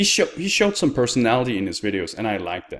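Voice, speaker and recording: A man with a Danish accent speaks at a medium pitch. The recording is very clean, with a silent background. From Denmark. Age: 20s. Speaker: YouTuber and streamer. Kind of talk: personal vlog.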